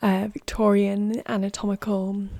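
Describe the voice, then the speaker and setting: The speaker is soft-spoken, with a calm tone. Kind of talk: ASMR tarot card showcase, soft-spoken talk to camera. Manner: soft-spoken, calm, relaxing.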